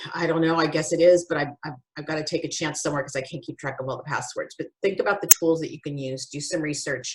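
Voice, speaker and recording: A woman speaks at a very fast pace with hardly any pauses, her pitch very deep and low. Her voice is somewhat breathy and shows big swings in loudness. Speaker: podcast host. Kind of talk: casual chat. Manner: animated.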